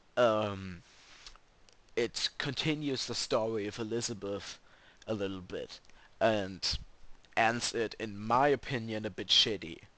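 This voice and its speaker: A man with a German accent speaks at a fairly slow pace in a bright, sharp tone, using ordinary pitch variation and long, frequent pauses against a quiet background. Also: medium pitch for a man. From Germany. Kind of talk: casual gaming commentary.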